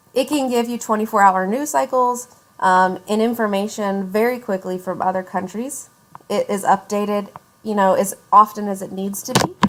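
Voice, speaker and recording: A woman with a medium pitch and ordinary pitch variation speaks at a moderate pace against noticeable background noise. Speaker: professor. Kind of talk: lecture.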